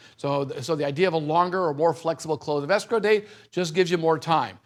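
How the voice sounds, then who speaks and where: A man speaks at a very fast pace with an energetic tone and lively intonation. The recording is very clean, with a silent background. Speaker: tax-deferred exchange specialist presenting at a seminar. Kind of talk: seminar lecture.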